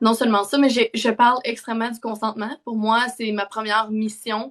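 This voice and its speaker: Moderate tempo and fairly even intonation in a woman's rather high voice. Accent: strong Quebec. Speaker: parenting content creator. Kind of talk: live stream interview chat. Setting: online live stream.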